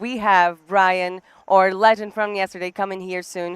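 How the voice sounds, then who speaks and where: At a fairly quick pace, the speaker uses an animated tone with a Portuguese accent. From Brazil. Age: 20s. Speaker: poker commentator. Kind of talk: live commentary.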